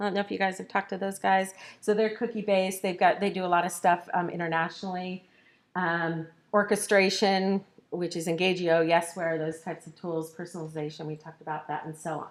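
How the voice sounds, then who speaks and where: A woman with an unremarkable speaking voice talks at a fairly quick pace and fairly low pitch. Her intonation is fairly even, while her loudness swings widely. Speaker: marketing consultant and workshop presenter. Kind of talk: conference workshop presentation.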